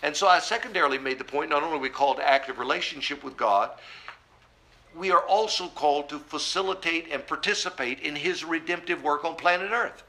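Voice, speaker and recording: Over noticeable background noise, a man talks at a very fast pace with a fairly high pitch. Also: ordinary pitch variation. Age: 60s. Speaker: pastor. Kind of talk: sermon.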